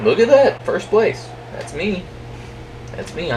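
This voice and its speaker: Speaking at a fairly slow pace, a man is heard over noticeable background noise. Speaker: gamer recording gameplay commentary. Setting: at home, in own room.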